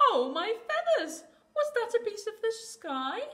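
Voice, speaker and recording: A squeaky, put-on character voice at an extremely high pitch. It moves at a moderate pace with very wide pitch swings. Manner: panicked, alarmed.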